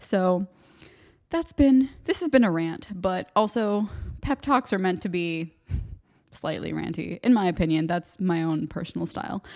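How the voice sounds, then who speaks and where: At a fairly slow pace, a normal speaking voice with an American accent comes through on a very clean recording with a silent background. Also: woman. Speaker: podcast host. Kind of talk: solo monologue pep talk. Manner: casual, chatty, rambling.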